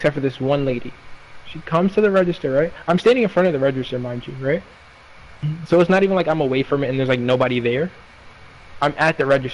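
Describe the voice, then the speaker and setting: A man races along at a very fast pace, his pitch varying in an ordinary way, with noticeable background noise behind him. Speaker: retail worker. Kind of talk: casual chat.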